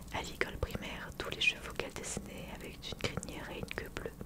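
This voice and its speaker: Noticeable background noise runs through the clip. Over it, a woman whispers. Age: 20s. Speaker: YouTuber reading a book aloud. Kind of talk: whispered fireside book reading, cozy bedtime-style.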